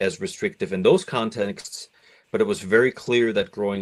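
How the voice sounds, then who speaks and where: Here a man speaks with a German accent. The background is quiet. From East Germany (East Berlin). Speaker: doctoral candidate and musician. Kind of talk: podcast interview. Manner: reflective, with many fillers.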